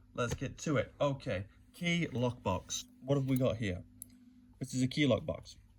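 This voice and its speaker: A somewhat breathy man at medium pitch, with lively intonation. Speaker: lockpicking hobbyist. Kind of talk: casual tutorial talk to camera.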